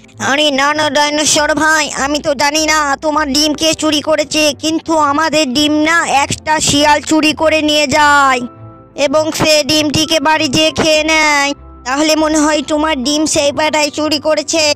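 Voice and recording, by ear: A high, cartoonish character voice runs at a moderate pace in a monotone, flat intonation. Clear music sounds in the background.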